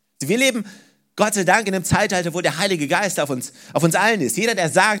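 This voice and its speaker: On a very clean recording with a silent background, a man speaks at a fairly quick pace in a warm, animated tone with very wide pitch swings. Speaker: preacher. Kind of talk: sermon. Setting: church. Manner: animated, emphatic, repeating key phrases to drive them home; warm, direct address to the congregation.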